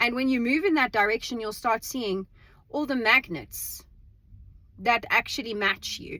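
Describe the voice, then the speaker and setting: The voice is loud, bright and sharp, with lively intonation and a fairly slow pace broken by long, frequent pauses. The recording is very clean with a silent background. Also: woman, high pitch for a woman. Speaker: vlogger. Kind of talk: casual monologue. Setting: in a car. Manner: halting repetitions.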